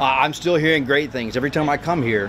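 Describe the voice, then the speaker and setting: A man talking at a very fast pace, ordinary pitch variation, noticeable background noise behind him. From rural Louisiana. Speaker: congressional candidate; candidate. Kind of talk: interview. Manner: hesitant with fillers. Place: street.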